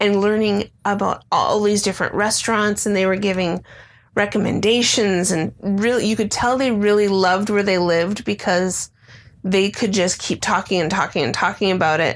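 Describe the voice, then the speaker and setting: A woman with an American accent uses a plain, everyday voice at a moderate pace and medium pitch, with fairly even intonation and very even loudness. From Illinois, Chicago area. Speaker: podcast co-host. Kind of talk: casual chat.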